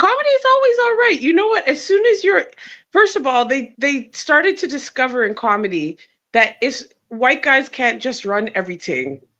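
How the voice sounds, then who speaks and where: A woman speaks at a moderate pace with a Jamaican accent. Her high voice has a bright, sharp tone and very wide pitch swings. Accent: Jamaican twang. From Canada. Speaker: comedian. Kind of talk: casual chat. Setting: video call from a hotel.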